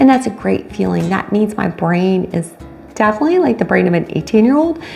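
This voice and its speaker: Amid noticeable background noise, a woman speaks at a medium pitch in an animated tone and a fairly quick pace. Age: 50s. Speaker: vlogger, cocktail waitress and retired teacher. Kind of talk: casual vlog monologue.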